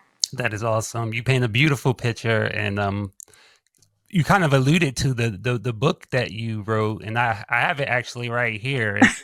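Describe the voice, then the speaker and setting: This is a man with a medium pitch and ordinary pitch variation. He has a plain, everyday voice. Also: moderate pace. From US South, North Carolina (Lumberton). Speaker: podcast host. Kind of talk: interview.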